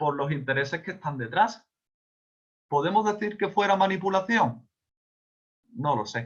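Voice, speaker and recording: This is a man talking. He has an Andalusian accent. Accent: Andalusian (Seville). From Spain, Seville (Andalusia). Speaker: speaker on communication and advocacy. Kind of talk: online talk / lecture. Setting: video call.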